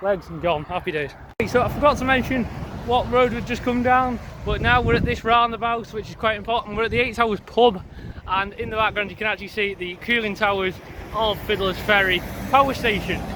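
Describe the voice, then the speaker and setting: With a raised, projected voice, a man speaks at a fairly quick pace in a high pitch with ordinary pitch variation, and there is noticeable background noise. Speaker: railway vlogger. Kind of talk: walking vlog commentary. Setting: outdoors. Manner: hesitant, many fillers.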